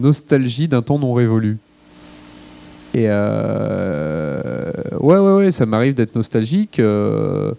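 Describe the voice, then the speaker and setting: Pausing long and often, a man talks at a very slow pace. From France, Lyon. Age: 40s. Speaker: chef. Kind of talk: public Q&A. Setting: library event with audience. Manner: hesitant, many filler words.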